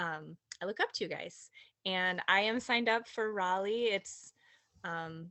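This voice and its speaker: This woman speaks with a Minnesotan accent at a medium pitch. Her pace is fairly slow, with ordinary pitch variation. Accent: Minnesota. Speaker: direct sales consultant. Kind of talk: casual sharing in team meeting.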